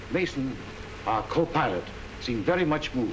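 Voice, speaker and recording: A man at a fairly quick pace, with very wide pitch swings and noticeable background noise. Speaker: expedition leader lecturing. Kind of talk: lecture. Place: hall. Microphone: old recording.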